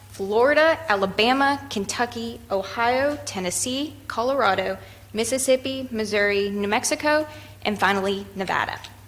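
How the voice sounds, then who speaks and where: At a moderate pace, a woman talks in a fairly high voice with ordinary pitch variation, with noticeable background noise behind her. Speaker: charity representative. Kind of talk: presentation to city committee. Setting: public meeting.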